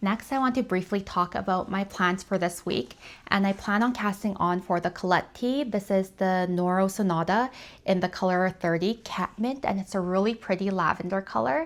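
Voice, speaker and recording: This very clean recording has a silent background. A woman speaks at medium pitch and a moderate pace, with ordinary pitch variation and very even loudness. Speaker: knitting podcaster. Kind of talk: casual vlog talk.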